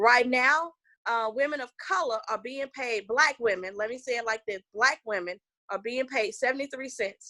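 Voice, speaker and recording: In a Southern US accent, the speaker has a bright, sharp, animated tone, ordinary pitch variation, a moderate pace, and a dry, close sound with no echo. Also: woman. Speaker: political candidate. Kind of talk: political interview.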